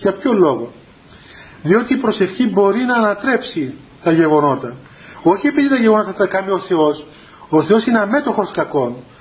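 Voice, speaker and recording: A man talks with a high pitch. Noticeable background noise runs behind him. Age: 30s. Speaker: Orthodox spiritual teacher. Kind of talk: religious talk to young people. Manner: halting.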